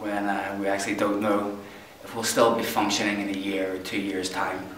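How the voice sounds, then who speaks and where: A man with a Northern Irish accent, fairly low in pitch, at a moderate pace amid noticeable background noise and audible room echo. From Northern Ireland, County Tyrone. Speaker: boxing club member. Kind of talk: interview.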